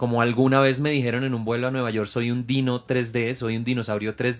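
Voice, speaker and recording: The speech moves at a fairly quick pace in a flat, monotone intonation. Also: man. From Venezuela. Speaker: podcast host, flight attendant. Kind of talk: interview.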